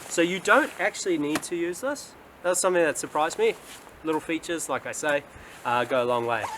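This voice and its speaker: A man with a New Zealand accent speaks over noticeable background noise. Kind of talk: casual talk to camera. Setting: outdoors.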